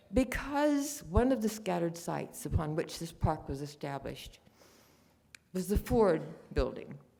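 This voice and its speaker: Amid audible room echo, a woman's fairly low, dark, mellow voice shows vocal fry and very wide pitch swings. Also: moderate pace. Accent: American. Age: 90s. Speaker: war home front witness. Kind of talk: conference talk.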